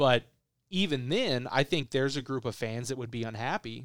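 An American accent and an ordinary speaking voice mark this man, who talks at a moderate pace with ordinary pitch variation in a very clean recording with a silent background and a dry, close sound with no echo. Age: 20s. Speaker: sports podcast host. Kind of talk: casual sports chat.

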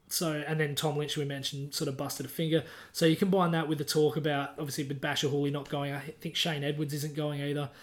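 Speaking at a very fast pace with hardly any pauses, a man with an Australian accent sounds somewhat breathy and delivers everything in a monotone, flat intonation. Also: fairly high pitch for a man. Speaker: sports podcast co-host. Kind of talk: casual chat.

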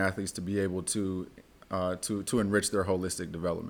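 A man's very fast, monotone, flat delivery in a West Coast accent, pitched fairly low. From Oakland, California. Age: 30s. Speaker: university athlete development director. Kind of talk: interview.

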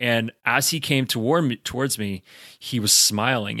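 A man's bright, sharp voice with ordinary pitch variation is heard on a very clean recording with a silent background. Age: 30s. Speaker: podcast co-host. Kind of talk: casual chat.

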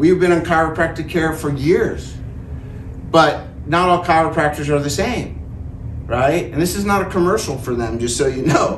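A man's fairly high voice at a moderate pace, ordinary pitch variation, noticeable background noise behind him. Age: 40s. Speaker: cancer survivor speaker. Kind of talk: talk to an audience. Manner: casual, with frequent filler words.

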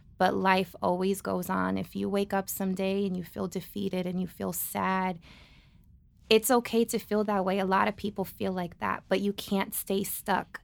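The woman speaks with an American accent at a moderate pace and a medium pitch. Her intonation is monotone and flat, and the recording is very clean with a silent background. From New Jersey. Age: 30s. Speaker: guest, aspiring dance studio owner. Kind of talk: casual chat. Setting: studio.

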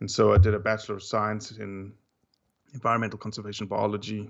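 A man talks at a very fast pace in a fairly low voice with vocal fry. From South Africa; Johannesburg. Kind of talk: casual podcast interview. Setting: phone call.

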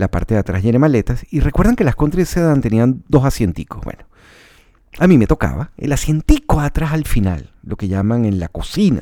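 A man with a Venezuelan accent speaks at a moderate pace in a dark, mellow, relaxed tone, his medium pitch swinging very widely. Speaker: radio announcer and podcaster. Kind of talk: personal storytelling monologue. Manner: relaxed, conversational.

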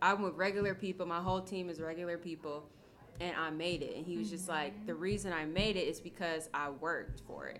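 Someone talks very fast with fairly even intonation, and audible room echo surrounds the voice. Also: woman, fairly low pitch for a woman. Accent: American. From Ohio, Akron. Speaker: yoga studio owner and teacher. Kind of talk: casual chat.

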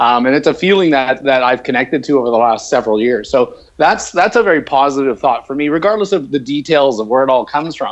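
A man with a Canadian accent talks at a very fast pace, with hardly any pauses. His pitch is fairly high, with ordinary pitch variation. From northern Canada. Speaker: leadership speaker and author. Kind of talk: casual chat. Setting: video call.

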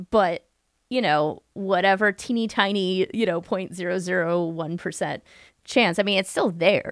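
In a plain, everyday voice, a woman speaks at a medium pitch and moderate pace with ordinary pitch variation, the sound dry and close with no echo. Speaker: public historian and podcaster. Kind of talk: casual chat. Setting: remote call.

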